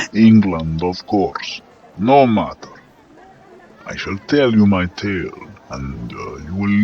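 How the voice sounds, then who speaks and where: A man uses a guttural, put-on character voice in a Russian accent. He speaks at a fairly slow pace with a fairly low pitch. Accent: throaty Russian. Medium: read story. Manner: gruff, commanding, theatrical.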